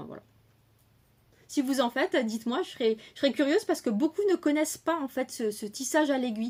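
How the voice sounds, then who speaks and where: On a very clean recording with a silent background, a woman's intonation is lively. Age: 30s. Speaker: crochet and knitting podcaster. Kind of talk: casual chat. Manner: hesitant, many fillers.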